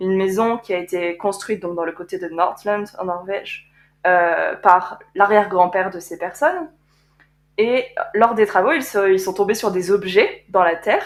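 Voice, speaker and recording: A woman with an unremarkable speaking voice talks at a fairly slow pace and medium pitch, with ordinary pitch variation and big swings in loudness. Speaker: podcast co-host, art conservator-restorer. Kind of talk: casual chat.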